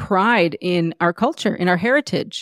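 Recorded very cleanly with a silent background and a dry, close sound with no echo, a woman uses a normal speaking voice at a medium pitch and a moderate pace. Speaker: entrepreneur and former musician. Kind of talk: interview.

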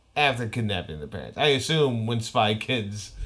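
A man speaks at a moderate pace with a fairly low pitch. His intonation is lively, and vocal fry runs through his voice. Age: 30s. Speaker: podcast co-host and comedian. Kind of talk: casual chat.

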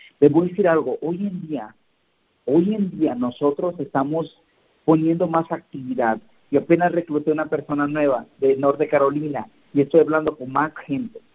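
The man's voice is fairly high, with ordinary pitch variation. He keeps to a moderate pace. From Mexico, Oaxaca. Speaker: network marketing team leader. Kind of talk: motivational team call. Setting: conference call. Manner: halting, many fillers.

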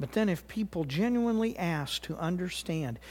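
Very clean and silent in the background, this recording has a man with a dark, mellow tone and a high pitch. He speaks at a moderate pace with very wide pitch swings. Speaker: pastor. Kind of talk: sermon. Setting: church. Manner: gets louder and higher-pitched when excited.

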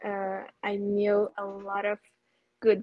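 At a very slow pace, a woman speaks at medium pitch with a dry, close sound and no echo. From interior of São Paulo state, Brazil. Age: 20s. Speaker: former au pair. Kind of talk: casual interview.

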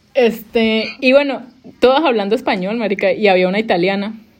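A woman's fairly high voice with lively intonation, over noticeable background noise. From Colombia. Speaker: podcast host, former au pair. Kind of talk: casual chat. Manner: fast.

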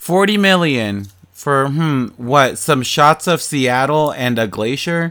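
The tone is bright and sharp, the intonation lively, and the delivery very slow. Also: man, fairly high pitch for a man. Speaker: podcast co-host. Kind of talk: casual chat. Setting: at home, lying in bed. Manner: animated.

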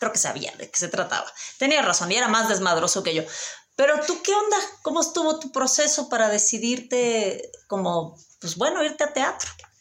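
This voice has a Mexican accent and an animated tone, moving at a moderate pace. Its pitch swings very widely. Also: woman, high pitch for a woman. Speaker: podcast host. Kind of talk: casual interview chat.

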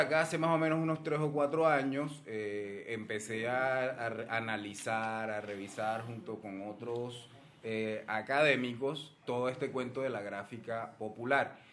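Fairly slow, medium-pitched speech from a man, with ordinary pitch variation and audible room echo. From Colombian Caribbean coast, Cartagena. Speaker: advertising professor and researcher. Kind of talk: casual chat.

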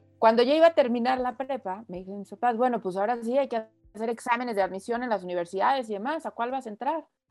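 Someone speaks very fast in a Mexican accent, with ordinary pitch variation. The loudness swings widely. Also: woman, fairly high pitch for a woman. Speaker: photographer and design teacher. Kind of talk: casual interview.

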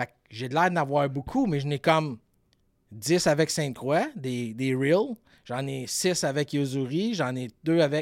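Speaking very slowly with a Quebec accent, a man varies his pitch in an ordinary way and swings widely in loudness, in a dry, close, very clean recording with no echo and a silent background. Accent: Québécois French. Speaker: fishing pro-staff agency owner. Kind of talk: casual chat.

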